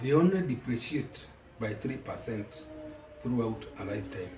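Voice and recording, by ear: Audible room echo surrounds a slightly mellow tone delivered at a fairly slow pace. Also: man.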